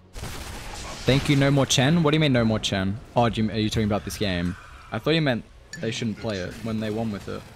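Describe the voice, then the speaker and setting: A man's medium-pitched voice at a fairly quick pace, with ordinary pitch variation over noticeable background noise. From Australia. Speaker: Dota 2 streamer and caster. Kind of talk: casual live-stream commentary. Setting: live stream. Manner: casual, relaxed.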